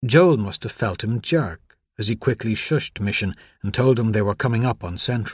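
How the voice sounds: A natural reading voice. The background is quiet.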